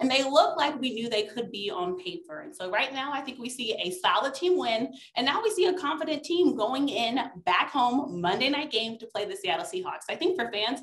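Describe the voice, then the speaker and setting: A woman talks at a high pitch and a fairly quick pace. Her pitch swings very widely. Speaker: sports commentator guest. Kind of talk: commentary. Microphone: video call.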